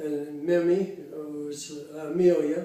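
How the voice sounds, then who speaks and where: A man with an American accent speaks in a fairly high pitch, his tone dark and mellow. His intonation stays flat and monotone, with audible room echo. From US Midwest, Cincinnati, Ohio. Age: 80s+. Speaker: interviewee, retiree. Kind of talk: oral history interview. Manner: halting, many fillers.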